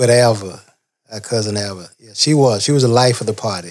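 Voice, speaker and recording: Speaking fairly slowly, a man uses a medium pitch with ordinary pitch variation. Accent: Southern US. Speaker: family member. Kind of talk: storytelling.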